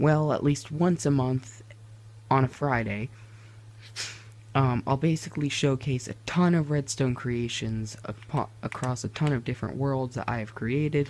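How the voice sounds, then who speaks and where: A quiet, somewhat breathy man's voice at medium pitch, fairly slow, with ordinary pitch variation and long, frequent pauses. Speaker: gaming YouTuber. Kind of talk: gameplay tutorial. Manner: quieter, hushed; hesitant, many fillers.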